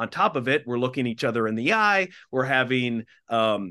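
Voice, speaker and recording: Lively intonation, a bright, sharp tone and a moderate pace in an Upper Midwest accent, over a quiet background. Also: man. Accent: Upper Midwest American. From Minnesota, small town. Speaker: TV anchor and communications executive. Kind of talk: interview.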